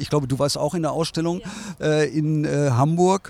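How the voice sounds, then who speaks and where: Noticeable noise sits behind speech delivered at a moderate tempo. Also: man. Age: 60s. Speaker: design agency owner. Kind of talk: interview. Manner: hesitant, many fillers.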